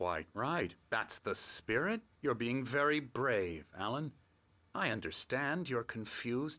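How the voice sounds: A man puts on a character voice with a medium pitch and a bright, sharp tone. He speaks at a slow pace with big pitch swings.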